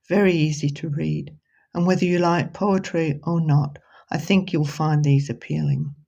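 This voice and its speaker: With a British accent, a woman speaks at a moderate pace in a very deep, low pitch, her tone dark and mellow and somewhat breathy, with fairly even intonation. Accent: British accent after 50 years in Australia. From Britain. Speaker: poet and author. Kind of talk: reading aloud and book presentation.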